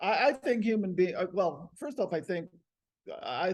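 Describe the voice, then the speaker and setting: A man at a fairly quick pace. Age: 60s. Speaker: plant-based eater debating diet. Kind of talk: casual debate. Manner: halting, many restarts.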